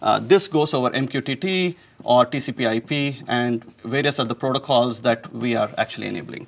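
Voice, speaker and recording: A man talks with vocal fry and ordinary pitch variation. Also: moderate pace. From India. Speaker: technology executive. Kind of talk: technical interview. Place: studio. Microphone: lapel.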